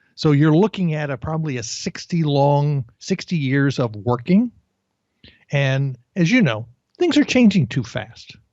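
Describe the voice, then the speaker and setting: An unremarkable speaking voice from a man, fairly high-pitched, with lively intonation at a fairly slow pace. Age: 50s. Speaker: career coach. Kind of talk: interview.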